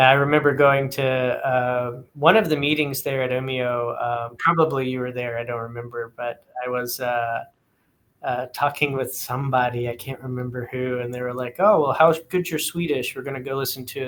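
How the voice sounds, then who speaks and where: A man of medium pitch speaks with an American accent and an unremarkable speaking voice. His pace is moderate and his intonation fairly even. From East Texas. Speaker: podcast host. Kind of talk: casual interview.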